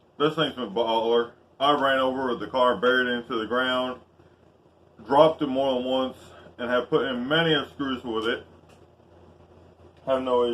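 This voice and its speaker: A man with a Southern US accent, medium pitch, fairly even intonation and a moderate pace, over noticeable background noise. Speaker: YouTuber reviewing tools. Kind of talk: casual vlog tool review.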